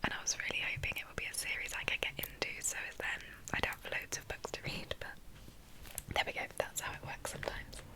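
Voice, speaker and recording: Noticeable background noise runs beneath a woman's whisper. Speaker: ASMR creator. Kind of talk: ASMR book chat, whispered. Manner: soft-spoken, slow, whispering.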